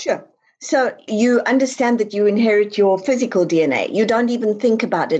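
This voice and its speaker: With a South African accent, a woman speaks at a fairly quick pace. Her pitch is fairly high and varies in an ordinary way. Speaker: author. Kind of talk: interview.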